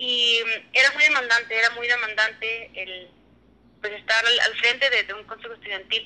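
With a bright, sharp tone and big swings in loudness, a woman speaks at a fairly high pitch, moderate pace and fairly even intonation. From Mexico, Durango. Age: 20s. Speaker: business engineer. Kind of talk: casual chat. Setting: remote call.

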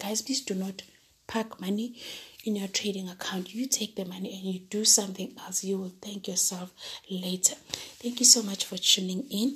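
Using a put-on character voice, a woman talks in a hoarse, medium-pitched tone with fairly even intonation at a moderate pace.

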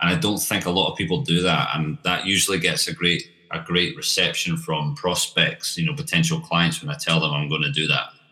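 In a Scottish accent, a man with a very deep, low pitch speaks at a fairly quick pace with hardly any pauses, his tone bright and sharp and his intonation lively. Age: 30s. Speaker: marketing agency founder. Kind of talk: interview.

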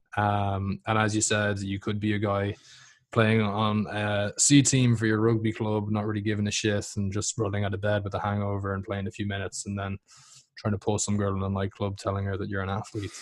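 In an Irish accent, a man speaks at a fairly quick pace with fairly low pitch and monotone, flat intonation. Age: 20s. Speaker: fitness coach and podcast host. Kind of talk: casual interview.

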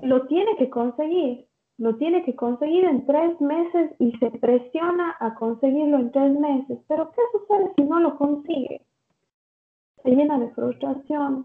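A woman with a high pitch talks at a fairly slow pace. Her pitch varies in an ordinary way. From Ecuador. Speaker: clinical psychologist. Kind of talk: interview.

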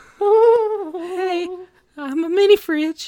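Pitched extremely high, the voice is a put-on character act.

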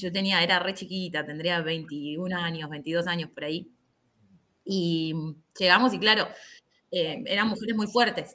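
A woman speaks at a fairly slow pace with long, frequent pauses. Her fairly low voice has a bright, sharp tone and ordinary pitch variation. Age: 30s. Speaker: karate instructor. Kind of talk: casual chat.

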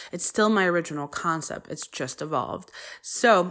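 A woman with a medium pitch talks at a moderate pace, her intonation lively. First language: Polish. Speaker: podcast host, college professor. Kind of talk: podcast monologue introduction.

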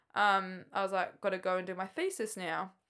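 A woman's bright, sharp, medium-pitched voice with an Australian accent and fairly even intonation, very cleanly recorded against a silent background. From Queensland, Australia. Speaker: triathlete. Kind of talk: casual chat.

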